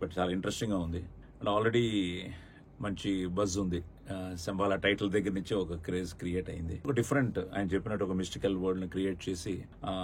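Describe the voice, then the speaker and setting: A somewhat breathy man's voice, very deep and low in pitch, with fairly even intonation. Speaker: film actor. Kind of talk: film trailer launch promo talk.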